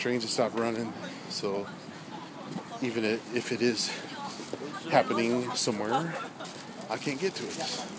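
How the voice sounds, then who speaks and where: A man with an American accent talks at a moderate pace with long, frequent pauses, the sound dry with no echo beneath loud background noise. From Texas. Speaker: vlogger. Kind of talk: casual walking vlog monologue. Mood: relaxed, joking. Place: street. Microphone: phone near.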